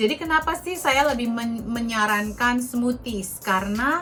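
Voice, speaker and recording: A woman talks with lively intonation at a fairly high pitch. Music plays in the background. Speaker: naturopathic practitioner. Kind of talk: health tips podcast monologue. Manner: normal volume, previously too soft; casual, chatty.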